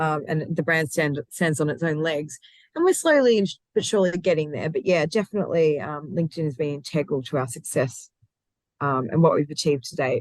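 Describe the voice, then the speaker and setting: A woman's very deep, low voice at a fairly quick pace, with ordinary pitch variation. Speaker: recruitment consultancy founder. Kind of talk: interview. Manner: energetic, passionate.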